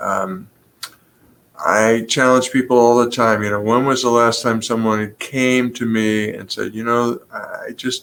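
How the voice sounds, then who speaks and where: This is a normal speaking voice, and it moves at a fairly slow pace. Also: man, medium pitch for a man, fairly even intonation. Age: 60s. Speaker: pastor and professor. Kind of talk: interview.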